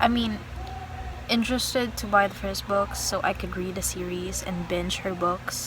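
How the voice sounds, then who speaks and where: A woman is heard with audible room echo. There is noticeable background noise. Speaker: book vlogger. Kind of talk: casual vlog talk to camera. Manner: low, slow, soft.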